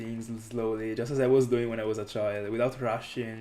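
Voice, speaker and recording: At medium pitch and a moderate pace, a man speaks with monotone, flat intonation over noticeable background noise. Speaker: gaming streamer. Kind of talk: live stream commentary. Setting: live stream. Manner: clears throat often.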